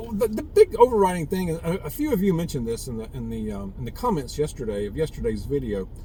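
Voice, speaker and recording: A man with a Southern US accent, at a fairly quick pace, over noticeable background noise. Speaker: prepper vlogger. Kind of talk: casual monologue vlog. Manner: halting, repetitive fillers.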